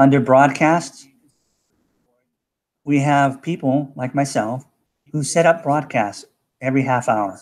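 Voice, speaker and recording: Using a normal speaking voice with an American accent, a man speaks at a fairly slow pace and fairly high pitch with fairly even intonation. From USA. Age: 60s. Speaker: cryptocurrency promoter. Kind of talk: live broadcast pitch. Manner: casual, repetitive 'okay' fillers.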